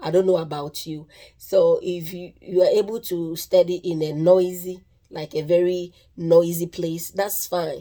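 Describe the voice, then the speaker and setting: A woman's fairly low, dark, mellow voice in a Ghanaian accent, with fairly even intonation at a fairly slow pace. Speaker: nursing vlogger. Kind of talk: casual tutorial. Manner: halting, with repeated words and restarts.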